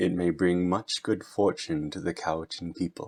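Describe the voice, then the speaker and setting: A man's put-on character voice at a very deep, low pitch and a moderate pace. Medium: read story.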